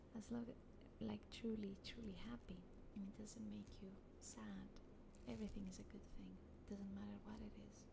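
A woman at a moderate pace with long, frequent pauses, noticeable background noise behind her. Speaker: ASMR creator. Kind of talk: casual chat. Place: home room. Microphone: studio mic.

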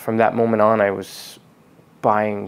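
The pace is moderate. The speaker is a man. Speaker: car detailing channel host. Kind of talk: personal vlog talk. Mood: reflective, calm, personal.

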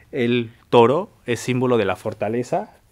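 A man with a central Mexican accent speaks in a medium-pitched voice. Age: 20s. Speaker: folk artist and embroiderer. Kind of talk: personal testimony. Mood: calm, earnest. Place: studio.

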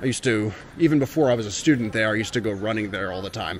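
A man at a very fast pace, dry sound with no echo, light background noise underneath. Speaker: travel vlogger. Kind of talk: casual vlog chat. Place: street. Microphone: phone near.

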